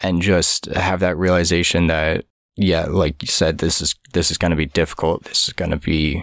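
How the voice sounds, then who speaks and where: A man speaks in a very deep, low voice. His pace is moderate and his intonation monotone and flat. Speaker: podcast co-host. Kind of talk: casual chat.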